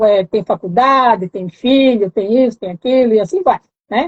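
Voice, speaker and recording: A woman with a fairly high pitch and ordinary pitch variation talks at a fairly slow pace. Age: 60s. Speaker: mentoring program participant. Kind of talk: live stream interview. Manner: halting.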